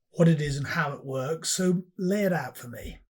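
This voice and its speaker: A fairly slow delivery in a West Country accent. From Bristol, England. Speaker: podcast host. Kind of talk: interview.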